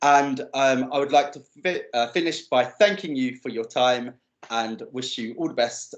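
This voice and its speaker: A man uses a normal speaking voice and keeps to a moderate pace. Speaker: digital legacy speaker. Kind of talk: presentation.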